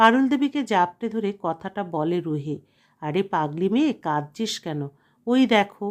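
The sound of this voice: An unforced reading voice is heard. The intonation is lively.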